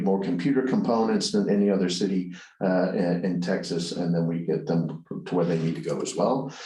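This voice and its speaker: A man talks at a moderate pace with ordinary pitch variation, amid audible room echo and noticeable background noise. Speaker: business presenter. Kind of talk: online conference presentation; speaker introduction. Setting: online webinar. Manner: hesitant, many fillers.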